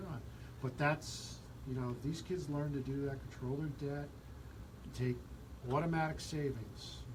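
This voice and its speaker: A man with a fairly high pitch talks at a moderate pace, pausing long and often. Audible room echo and noticeable background noise sit behind him. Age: 60s. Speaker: radio host. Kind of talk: radio talk show interview.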